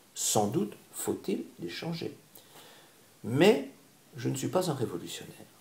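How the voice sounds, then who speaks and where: Calm in tone, a man with a fairly high voice and vocal fry speaks very slowly, with very wide pitch swings and long, frequent pauses. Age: 60s. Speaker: candidate for community organization president. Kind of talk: interview.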